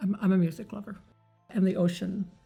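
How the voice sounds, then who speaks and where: A woman with an American accent, medium in pitch, with fairly even intonation and music in the background. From Kentucky. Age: 80s+. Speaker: hearing aid patient. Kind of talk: interview answer.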